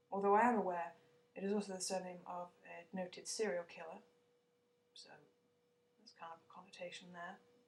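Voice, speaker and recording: A woman with a British accent, somewhat breathy, at a fairly quick pace with fairly even intonation. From Britain. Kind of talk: casual vlog talk to camera.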